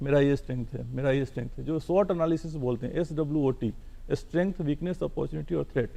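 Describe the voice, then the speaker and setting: A man talks in a fairly high pitch with a dark, mellow tone. His pace is moderate and his pitch varies in an ordinary way. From Bihar, India. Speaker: civil servant. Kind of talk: TV interview.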